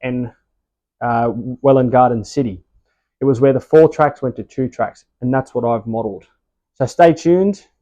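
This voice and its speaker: Speaking at a moderate pace, a man with an Australian accent has a medium pitch and ordinary pitch variation. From Australia, Sydney. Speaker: model railway hobbyist. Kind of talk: casual video tutorial. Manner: casual, with hesitations.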